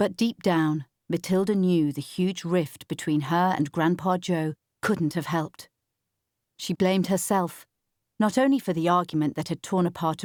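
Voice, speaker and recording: A woman speaks at a fairly low pitch and a moderate pace, with ordinary pitch variation, in a normal speaking voice. The recording is very clean and dry, with a silent background and no echo. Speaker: audiobook narrator. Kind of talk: audiobook fiction reading.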